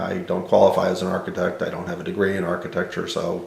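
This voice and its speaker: Someone with an American accent talks at a fairly quick pace amid noticeable background noise and audible room echo. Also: man. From New York City. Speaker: theater consultant. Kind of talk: oral history interview. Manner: halting.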